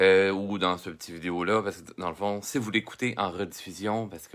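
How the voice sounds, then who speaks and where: Someone speaks at a moderate pace in a Quebec accent on a very clean recording with a silent background. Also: man. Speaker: drawing teacher. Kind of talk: live-streamed drawing lesson. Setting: Facebook live stream, computer and camera. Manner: hesitant, many fillers.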